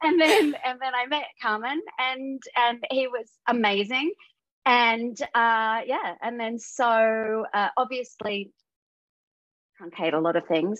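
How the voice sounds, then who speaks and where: A woman with an Australian accent speaks at a very slow pace with a high pitch and lively intonation. The sound is dry with no echo and the background is quiet. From Western Australia. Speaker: voice actor; guest actor. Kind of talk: casual interview. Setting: video call. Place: home room. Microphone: video call.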